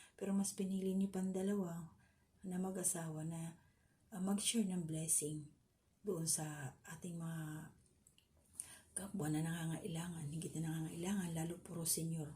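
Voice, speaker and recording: Somewhat breathy speech from a woman with a fairly low pitch and a dark, mellow tone, at a moderate pace with monotone, flat intonation and audible room echo. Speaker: vlogger. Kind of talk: reaction commentary.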